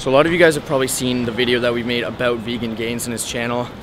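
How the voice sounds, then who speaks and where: Fairly even intonation in a dry sound without echo, with noticeable background noise. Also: man. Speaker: fitness vlogger. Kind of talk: casual vlog chat. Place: street. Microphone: phone near.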